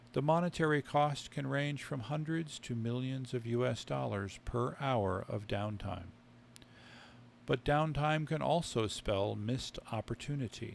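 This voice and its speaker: With ordinary pitch variation, a man talks in an ordinary speaking voice. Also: medium pitch for a man, fairly slow pace. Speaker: author. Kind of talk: sleep story reading of technical text.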